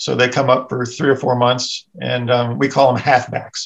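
A man speaks at a medium pitch. The background is quiet. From US South. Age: 60s. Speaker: editorial cartoonist; guest. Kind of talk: casual chat. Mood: relaxed, reflective. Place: home room. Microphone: video call.

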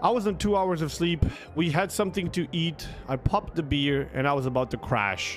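A man's fairly high-pitched voice with ordinary pitch variation, faint music in the background. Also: moderate pace.

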